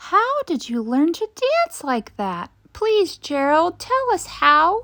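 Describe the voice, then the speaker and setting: Using a put-on character voice, a woman speaks very slowly at an extremely high, squeaky pitch with very wide pitch swings. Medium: read story.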